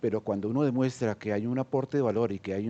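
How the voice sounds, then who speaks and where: A man with a Colombian accent has a dark, mellow tone and ordinary pitch variation. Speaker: senior entrepreneur. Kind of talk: panel discussion. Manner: hesitant, many fillers.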